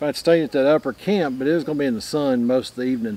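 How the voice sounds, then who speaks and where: A man speaks with ordinary pitch variation in a dry sound with no echo. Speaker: outdoors vlogger. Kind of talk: casual vlog chat. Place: forest.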